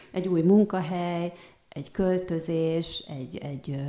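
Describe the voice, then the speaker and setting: This woman has a dark, mellow tone and a fairly low pitch. Her delivery is monotone, with flat intonation. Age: 40s. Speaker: art therapist and kinesiologist, student. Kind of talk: interview.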